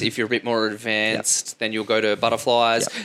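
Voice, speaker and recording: Speaking with an Australian accent, a man uses a medium pitch and a bright, sharp tone. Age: 30s. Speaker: podcast host, fitness. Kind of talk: interview.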